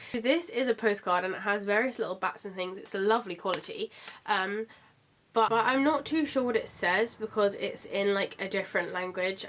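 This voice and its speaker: A woman talks at a fairly quick pace. Her pitch sits fairly high, with ordinary variation. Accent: British. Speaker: vlogger. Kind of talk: product haul review. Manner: casual, chatty.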